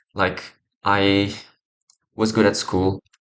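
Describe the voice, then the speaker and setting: A man speaking at a very slow pace. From Morocco. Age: 20s. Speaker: vlogger. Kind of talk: personal vlog monologue. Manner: hesitant, many fillers.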